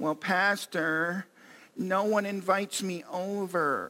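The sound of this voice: In a put-on character voice, a man speaks very slowly at a high pitch, whiny and raised to project, on a very clean recording with a silent background.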